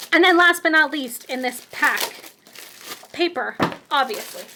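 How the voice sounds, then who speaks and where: Her voice raised and projected, a woman talks at a fairly slow pace. Her tone is animated and her intonation lively. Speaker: craft demonstrator. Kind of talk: product showcase tutorial.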